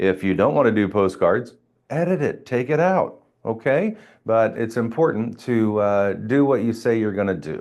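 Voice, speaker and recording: A man with an unremarkable speaking voice talks at a moderate pace over a quiet background. His medium pitch carries a lively intonation. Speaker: real estate trainer. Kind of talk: training session.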